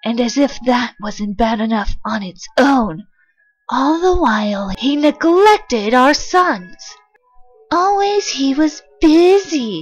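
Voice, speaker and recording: Over faint background music, a put-on character voice moves at a fairly slow pace with very wide pitch swings. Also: female-sounding voice, high pitch for a woman. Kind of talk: comic dub. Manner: angry, accusing.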